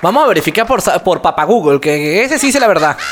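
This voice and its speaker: An animated tone with very wide pitch swings over noticeable background noise. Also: man. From Venezuela. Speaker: podcast host and YouTuber. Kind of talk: casual chat. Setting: studio.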